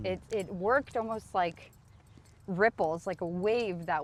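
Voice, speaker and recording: Speaking at a fairly slow pace, a woman with a fairly low pitch shows vocal fry and ordinary pitch variation. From Ukraine, raised in the United States. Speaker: recovering addict, addiction support helper. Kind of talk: interview answer. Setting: outdoors. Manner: quiet, calm.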